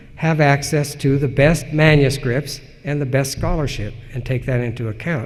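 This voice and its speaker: A man with an American accent speaks at a fairly high pitch with fairly even intonation, and the room echo is audible. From Utah, Salt Lake Valley. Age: 60s. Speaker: historian, professor. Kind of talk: lecture Q&A. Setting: conference stage with audience. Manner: measured, some hesitations.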